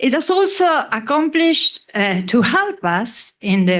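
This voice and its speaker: Against a quiet background, a woman with an Italian accent speaks at a fairly slow pace. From Italy. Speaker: economics professor. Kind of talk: ceremony speech. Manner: halting.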